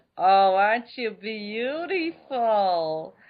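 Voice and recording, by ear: A put-on character voice, fairly high in pitch, comes through with a strong New Jersey accent. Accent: thick New Jersey.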